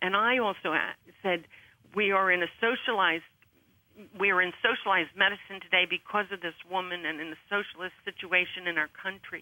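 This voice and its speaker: Fairly quick delivery with fairly even intonation. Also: woman, medium pitch for a woman. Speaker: pro-life activist. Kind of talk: radio talk show interview. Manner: loud; halting.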